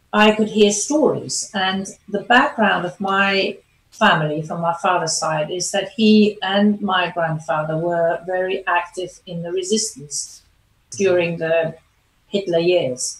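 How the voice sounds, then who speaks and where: A woman with a German accent at a fairly slow pace, somewhat breathy. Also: medium pitch for a woman, ordinary pitch variation. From Germany. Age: 60s. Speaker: performance coach. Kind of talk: interview.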